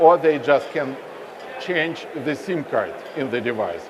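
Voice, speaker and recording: A man's fairly high voice carries ordinary pitch variation against noticeable background noise. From Russia. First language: Russian. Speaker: telecom company representative. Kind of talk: onstage interview. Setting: stage with audience at expo.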